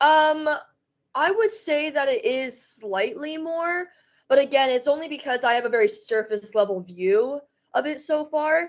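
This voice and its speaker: The woman's loud, high voice carries a New York accent and very wide pitch swings at a fairly slow pace. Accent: New York American. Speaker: university student, adoptee. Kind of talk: interview. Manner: enthusiastic.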